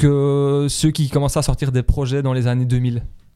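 A man's dark, mellow tone at a fairly slow pace, on a very clean recording with a silent background. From Belgium, La Louvière. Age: 30s. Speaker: hip-hop archivist. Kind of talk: casual interview. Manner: halting.

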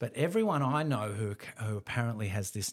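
A man speaks with an Australian accent in a very clean recording with a silent background. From Melbourne, Australia. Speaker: musician and creative director. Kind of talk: interview. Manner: laid back.

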